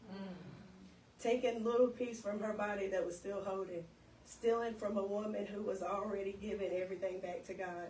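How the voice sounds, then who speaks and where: Noticeable background noise sits behind a woman. She talks at a fairly quick pace with monotone, flat intonation. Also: medium pitch for a woman. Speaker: spoken word poet. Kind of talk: spoken word poetry performance. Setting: live event.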